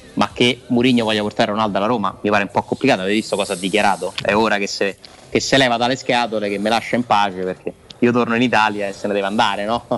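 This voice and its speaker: A man talks at a very fast pace in a fairly low pitch. His intonation is monotone and flat, with noticeable background noise behind it. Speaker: sports journalist. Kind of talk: casual chat.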